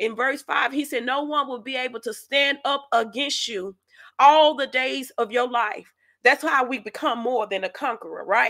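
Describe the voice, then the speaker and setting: A woman speaks in a raised, projected voice at a high pitch and a moderate pace. Her tone is animated, bright and sharp, with lively intonation. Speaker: faith podcast host. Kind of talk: sermon-style teaching.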